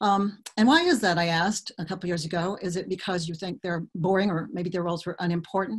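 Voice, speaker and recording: The voice is somewhat breathy with fairly even intonation. It moves at a very fast pace. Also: woman, medium pitch for a woman, quiet background. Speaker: author. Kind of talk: webinar presentation. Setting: video call. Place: home room. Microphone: webcam.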